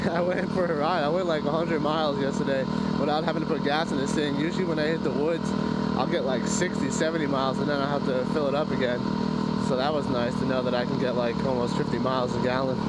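The speech comes at a very fast pace. Loud background noise sits under a dry sound with no echo. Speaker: motorcycle rider vlogger. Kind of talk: casual vlog chat. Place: motorbike. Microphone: helmet.

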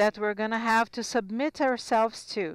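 Captured in a very clean, dry, close recording with no echo and a silent background, a woman speaks in an unremarkable speaking voice, pitched fairly high with ordinary pitch variation. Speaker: simultaneous interpreter. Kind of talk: simultaneous interpretation of conference talks. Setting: conference hall.

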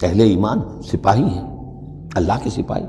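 The pace of this man's speech is fairly slow. There is light background noise. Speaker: religious lecturer. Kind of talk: lecture. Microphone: lapel.

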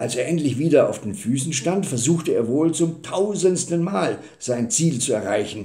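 A man speaks at a fairly slow pace in a dark, mellow tone that is somewhat breathy. The background is quiet. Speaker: storyteller. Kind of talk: storytelling reading. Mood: calm, warm narration. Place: home room. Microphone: webcam.

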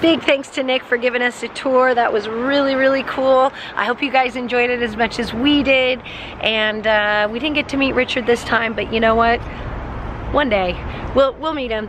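With noticeable background noise and a dry sound with no echo, a woman speaks at a moderate pace in a high voice with fairly even intonation. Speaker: motorcycle vlogger. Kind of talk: casual vlog chat. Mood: cheerful, smiling. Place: street. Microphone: phone near.

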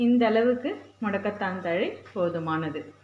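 A woman speaks with ordinary pitch variation. Light background noise and audible room echo come through. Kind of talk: cooking tutorial. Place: home room.

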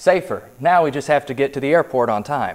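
Faint music plays in the background as a man with an American accent talks at a fairly quick pace with ordinary pitch variation. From United States (Texas). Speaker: TV news reporter and anchor. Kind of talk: TV newscast anchor and reporter stand-ups. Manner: polished, clear, professional broadcast delivery. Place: studio. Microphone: lapel.

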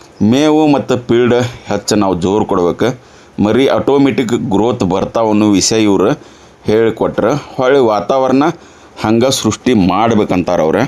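A man's medium-pitched voice in a North Karnataka accent, with very even loudness and ordinary pitch variation. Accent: north Karnataka Kannada dialect. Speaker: farm video channel host. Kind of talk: on-site farm interview.

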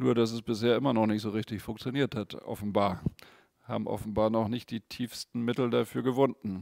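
A man with a medium pitch and fairly even intonation at a fairly quick pace, in a dry sound with no echo and a quiet background. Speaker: Buddhist meditation teacher. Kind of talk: guided meditation and dharma teaching, calm and explanatory. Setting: studio, video stream without audience. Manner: gently explanatory, conversational.

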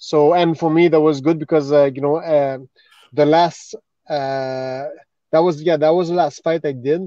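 A man speaks with a Quebec French accent in a dark, mellow tone with fairly even intonation. The sound is dry with no echo against a quiet background. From Montreal, Quebec. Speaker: retired MMA fighter; podcast guest. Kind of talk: casual chat. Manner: halting. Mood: earnest, reflective. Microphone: video call.

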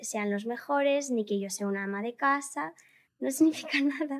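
At a moderate pace, a woman talks with a high pitch and ordinary pitch variation. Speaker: viral content creator; podcast guest. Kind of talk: interview. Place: studio. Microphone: studio mic.

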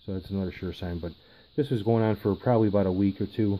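This man talks at a very fast pace with a very deep, low pitch and fairly even intonation. Light background noise can be heard. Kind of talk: casual vlog chat. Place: home room. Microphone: phone near.

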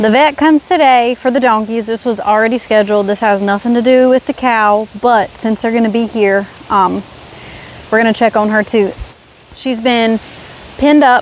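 In a dry sound with no echo and light background noise, a woman speaks at a moderate pace with fairly even intonation. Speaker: homesteader vlogger. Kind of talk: casual vlog chat. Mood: relaxed, slightly concerned. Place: open country. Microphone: phone near.

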